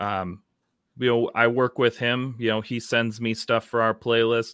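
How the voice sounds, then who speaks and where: A man with an American accent, medium pitch and a flat monotone at a fairly slow pace, on a very clean, silent recording with a dry, close sound and no echo. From Minnesota. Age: 30s. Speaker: music promoter. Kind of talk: casual chat.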